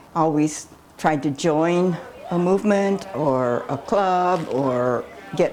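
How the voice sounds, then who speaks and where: The speaker's intonation is lively, with noticeable background noise behind it. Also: woman. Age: 90s. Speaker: activist and columnist. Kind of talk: documentary interview.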